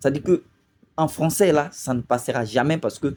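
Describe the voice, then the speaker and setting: The speaker has a dark, mellow tone and a moderate pace. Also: man. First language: Lobi (speaking French). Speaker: video commentator. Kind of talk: video commentary monologue. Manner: hesitant, many fillers.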